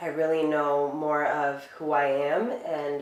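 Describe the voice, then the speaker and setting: Someone with an American accent speaks at a very slow pace, with audible room echo and noticeable background noise. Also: woman. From United States, Dominican family. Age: 30s. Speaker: beauty industry worker. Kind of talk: interview. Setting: living room.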